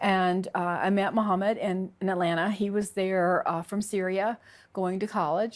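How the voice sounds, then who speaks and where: Heard in a very clean recording with a silent background, a woman with a Southern US accent speaks at a moderate pace and medium pitch, with monotone, flat intonation and very even loudness. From US South, Alabama. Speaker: convert sharing her story. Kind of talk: testimony. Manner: halting.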